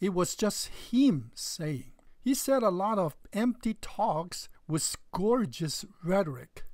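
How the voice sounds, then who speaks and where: The speaker talks at a very slow pace with a Chinese accent. The recording is very clean, with a silent background. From China. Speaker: religious video commentator. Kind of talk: response video argument.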